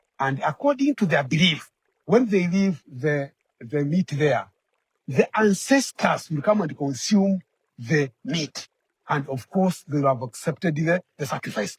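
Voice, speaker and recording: The man speaks slowly-ish, at a fairly slow pace, in a Kenyan accent, with a fairly high pitch. His intonation is lively, and the sound is dry and close with no echo. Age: old. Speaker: community elder. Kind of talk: interview answer. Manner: hesitant, repetitive.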